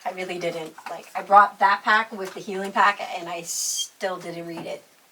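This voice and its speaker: Flat, monotone intonation from a woman, with big swings in loudness and noticeable background noise. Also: medium pitch for a woman, moderate pace. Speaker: YouTuber interviewing a makeup artist. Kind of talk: casual chat.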